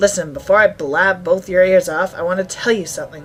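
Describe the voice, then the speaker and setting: A put-on character voice, raspy and middle-pitched, at a fairly quick pace over faint background music. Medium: game stream. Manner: blunt, brusque.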